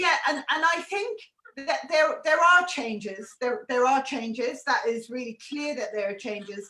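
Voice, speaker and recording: Raised and projected, a woman's high voice has a bright, sharp tone and very wide pitch swings. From Ireland, Tipperary. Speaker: artist in residence hosting live talks. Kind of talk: live conversation.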